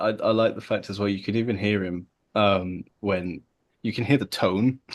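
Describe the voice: With a quiet background behind it, the clip offers plain reading aloud.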